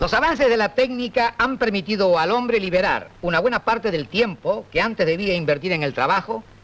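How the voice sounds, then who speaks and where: With lively intonation and hardly any pauses, a man talks at a fairly quick pace in a high pitch. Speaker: comedian. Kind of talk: comic stand-up monologue. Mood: dry, wry humor. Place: studio. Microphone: old recording.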